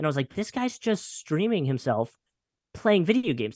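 Very wide pitch swings with a slight Philadelphia accent. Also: man. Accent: slight northern US (Philadelphia area). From Pennsylvania, near Philadelphia. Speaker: radio personality. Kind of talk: casual interview chat.

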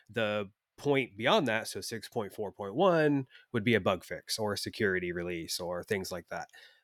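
A man with a normal speaking voice and fairly low pitch talks at a fairly slow pace with ordinary pitch variation, in a dry, close sound with no echo. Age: 40s. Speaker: podcast co-host, web developer. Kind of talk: casual chat. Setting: remote call.

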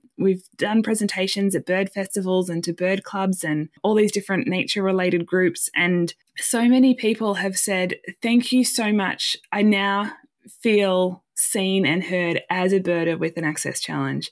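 With an Australian accent, a woman at medium pitch talks at a moderate pace with ordinary pitch variation, in a very clean recording with a silent background and a dry, close sound with no echo. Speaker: nonprofit coordinator. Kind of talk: interview.

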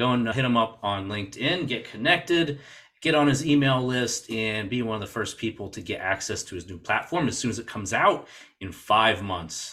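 Here a man speaks at medium pitch with lively intonation. His tone is bright and sharp. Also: moderate pace. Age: 40s. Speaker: podcast host. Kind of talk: casual interview.

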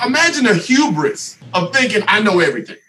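Over noticeable background noise, a raised, projected voice with an American accent swings very widely in pitch. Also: man. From US South. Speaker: mentor and relationship speaker. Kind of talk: casual podcast chat.

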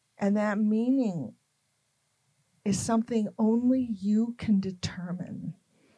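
Somewhat breathy and fairly high in pitch, a woman speaks with an American accent and fairly even intonation. Her pace is very slow, with long, frequent pauses. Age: 70s. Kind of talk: interview conversation.

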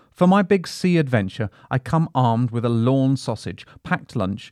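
Talking at a moderate pace with lively intonation, a man has a plain, everyday voice. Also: hardly any pauses, dry, close sound with no echo. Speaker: audio reader of a magazine article. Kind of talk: scripted narration of a nature travel article, read aloud. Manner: measured, warm, descriptive, wonder-filled.

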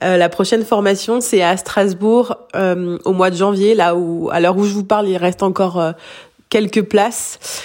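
Noticeable background noise runs under a woman's medium-pitched voice. She talks at a fairly slow pace with fairly even intonation. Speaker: hypnotherapist. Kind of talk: recorded voice message update. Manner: halting, repetitions.

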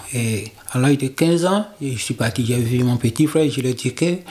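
A man with an unremarkable speaking voice talks at a fairly slow pace. His pitch is medium, with ordinary variation. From Togo. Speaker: migrant. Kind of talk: testimony.

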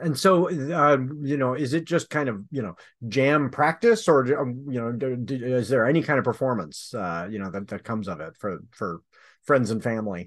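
Against a quiet background, a man with an American accent has a normal speaking voice at a medium pitch. He moves at a moderate pace with lively intonation. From Michigan. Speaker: podcast host and novelist. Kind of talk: casual chat. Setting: studio.

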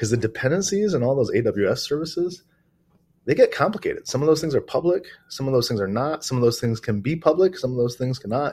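Someone with an American accent speaks at a fairly quick pace with lively intonation. The voice is somewhat breathy, and the background is quiet. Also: man. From US Midwest, Detroit, Michigan. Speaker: software security company founder. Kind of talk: casual interview.

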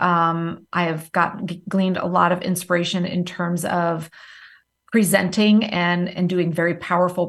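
A woman's fairly low, flat, monotone voice with a slight Southern US accent, at a moderate pace against a quiet background. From various places, military family (Marine Corps father). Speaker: entrepreneur, time management coach. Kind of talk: interview.

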